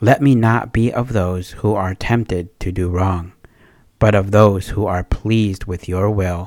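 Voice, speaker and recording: Over a very clean recording with a silent background, a man in a normal speaking voice keeps a fairly low pitch and fairly even intonation at a fairly slow pace. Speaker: person praying. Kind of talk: spoken prayer, devotional. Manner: fervent, earnest.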